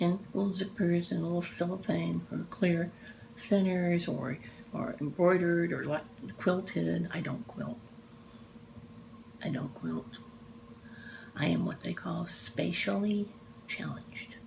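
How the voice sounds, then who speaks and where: A woman with an American accent at a fairly slow pace, with long, frequent pauses and noticeable background noise. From Texas, Dallas. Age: 60s. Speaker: cross-stitch vlogger. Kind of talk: casual chat. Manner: animated.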